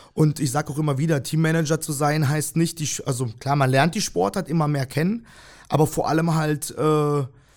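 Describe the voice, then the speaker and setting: On a very clean recording with a silent background, a man with a fairly high pitch talks at a moderate pace with ordinary pitch variation. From Germany (Freiburg, Breisgau), born in Kyrgyzstan. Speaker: volleyball team manager. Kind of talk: casual interview. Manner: hesitant, many fillers.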